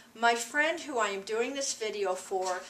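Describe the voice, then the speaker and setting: Over noticeable background noise, a woman speaks at a moderate pace with a fairly high pitch. Her intonation is lively, in an American accent. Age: 60s. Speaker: school staff member. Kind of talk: prepared statement. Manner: formal.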